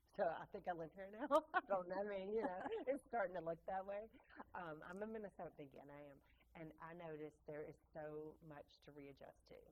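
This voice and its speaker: At a fairly quick pace, a woman of medium pitch speaks with lively intonation. Her loudness swings widely. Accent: Mississippi. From Mississippi, US South. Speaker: podcast host, tour guide. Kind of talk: casual interview chat.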